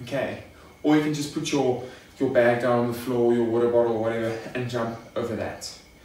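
Fairly quick speech from a man, with audible room echo. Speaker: fitness coach. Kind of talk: tutorial. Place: garage.

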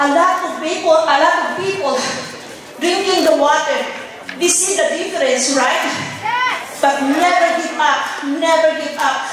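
A woman speaks at an extremely high pitch and a fairly slow pace, with ordinary pitch variation. Strong room echo and faint music in the background fill the recording. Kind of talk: acceptance speech. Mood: emotional, fervent, religious. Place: stage.

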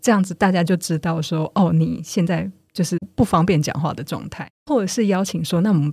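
The voice has a dark, mellow tone with vocal fry, moving at a fairly quick pace with hardly any pauses and ordinary pitch variation. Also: woman, fairly low pitch for a woman. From Taiwan. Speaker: nonprofit manager and author. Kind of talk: podcast interview.

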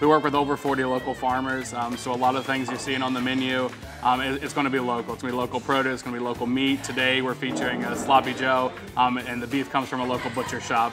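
Clear music plays in the background. Over it, a man talks at a very fast pace. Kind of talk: interview answer. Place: cafe. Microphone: lapel.

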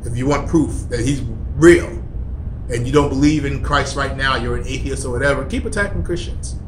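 This man talks fairly quickly, with noticeable background noise around him. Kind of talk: angry rant, preachy vlog. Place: office. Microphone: phone near.

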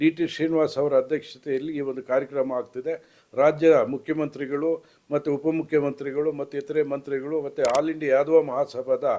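A man's fairly high voice carries a dark, mellow tone in a monotone with flat intonation. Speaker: retired civil servant, community association member. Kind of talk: public appeal statement. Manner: halting.

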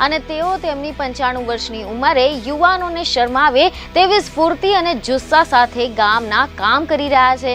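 Faint music plays in the background of a dry recording with no echo. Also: woman. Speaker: news presenter. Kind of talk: news feature narration. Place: studio.

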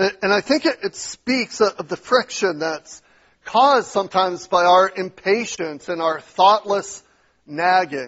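Against a quiet background, a man speaks at a high pitch and a fairly slow pace. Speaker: pastor. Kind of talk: sermon. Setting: church. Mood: earnest, exhorting. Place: church.

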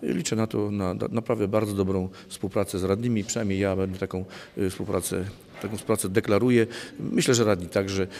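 Over light background noise, a man with a fairly low pitch talks very fast with fairly even intonation. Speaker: village head (mayor). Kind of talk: interview statement. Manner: halting, hesitant with fillers. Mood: calm, reflective. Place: hall. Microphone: handheld.

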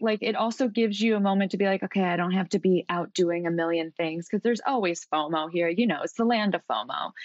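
A woman with an ordinary speaking voice talks at a fairly quick pace, her intonation lively. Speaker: coach with psychology background. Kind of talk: casual interview chat.

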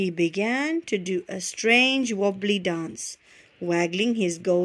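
Just plain reading aloud, nothing more.

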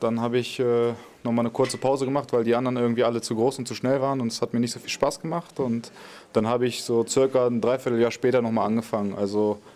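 A man rattles along at a very fast pace. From Lower Saxony, Germany (Wolfsburg area); Lower Saxony. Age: 20s. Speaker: professional footballer; guest. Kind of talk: question-and-answer interview with young fans. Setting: stadium fan area before a match. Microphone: handheld.

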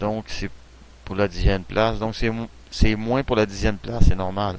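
A man speaks with a Quebec accent. His pitch is fairly low and his pace fairly quick. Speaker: gaming YouTuber. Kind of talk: let's play commentary. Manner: hesitant, many fillers.

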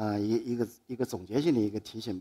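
The background is quiet as a man speaks at a fairly quick pace. His tone is dark and mellow, with ordinary pitch variation. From Anhui, Dingyuan county (Chuzhou); Anhui. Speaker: photographer. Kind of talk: public talk. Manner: halting. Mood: calm, reflective, lightly humorous. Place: stage. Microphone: headset.

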